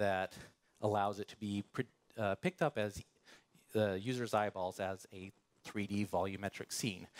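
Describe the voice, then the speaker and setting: A man speaks at a fairly low pitch. The sound is dry and close with no echo, on a very clean recording with a silent background. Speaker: software engineer giving a conference talk. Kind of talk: technical talk. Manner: fast.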